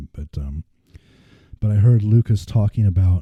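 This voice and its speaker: A man talks at a fairly slow pace in a somewhat breathy voice with a dark, mellow tone, recorded with a dry, close sound and no echo. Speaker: podcast host. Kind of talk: casual podcast monologue. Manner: some stuttering and repetition.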